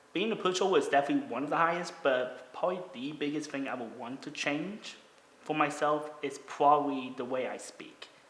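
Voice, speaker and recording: The American-accented speech moves along fairly quickly while noticeable noise sits in the background. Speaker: podcast host, YouTuber and voiceover artist. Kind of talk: casual chat.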